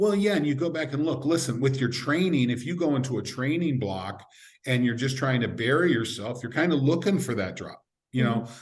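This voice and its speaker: Somewhat breathy and at medium pitch, a man with an American accent speaks fairly quickly in a room with audible echo. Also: lively intonation. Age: 60s. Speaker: sport scientist. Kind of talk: podcast interview.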